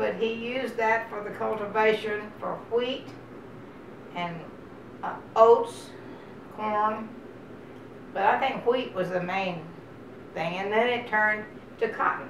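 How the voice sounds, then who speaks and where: A woman speaks with a Texan accent at a fairly high pitch and a fairly slow pace, leaving long, frequent pauses. Her intonation stays fairly even, with noticeable background noise and audible room echo. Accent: Texas Southern. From Texas. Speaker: oral history interviewee. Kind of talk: oral history interview. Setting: at her home.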